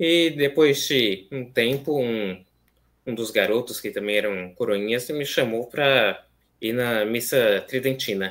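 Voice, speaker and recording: Ordinary pitch variation from a man moving at a very slow pace. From Brazil, São Paulo city (east zone); São Paulo, Brazil. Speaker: seminarian; guest. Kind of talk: interview conversation. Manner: hesitant, many fillers. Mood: calm, earnest. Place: home room.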